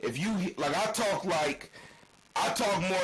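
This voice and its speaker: Noticeable background noise sits under a voice with an American accent at a moderate pace. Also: man. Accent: thick country-sounding. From Portland, Oregon. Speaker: podcast co-host. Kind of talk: casual chat. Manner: casual slang-heavy speech.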